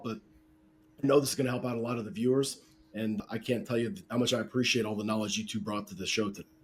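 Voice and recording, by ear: Using a put-on character voice, a man talks at a very fast pace in a raspy, hoarse tone at a medium pitch.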